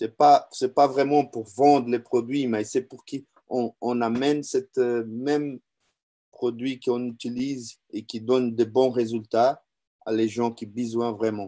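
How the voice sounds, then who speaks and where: Spoken very slowly in a non-native accent, the voice has a dark, mellow tone, flat monotone intonation and big swings in loudness, with a dry, close sound, no echo and a quiet background. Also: man, medium pitch for a man. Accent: non-native French, says his French is weak. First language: Portuguese (speaking French). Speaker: business owner and distributor giving testimony. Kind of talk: testimony. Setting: online video event. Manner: halting, many hesitations and repetitions.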